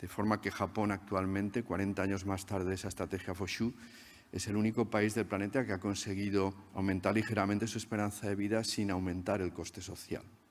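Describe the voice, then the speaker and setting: A man speaks at a fairly low pitch with monotone, flat intonation. The recording is very clean, and the background is silent. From Spain. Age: 60s. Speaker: research scientist. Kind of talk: conference talk.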